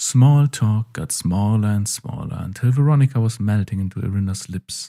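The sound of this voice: An unforced reading voice is what this clip holds.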